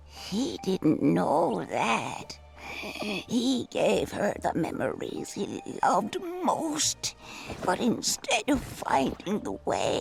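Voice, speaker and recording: Over clear background music, a put-on character voice speaks at a very slow pace. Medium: game stream. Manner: slow, storytelling.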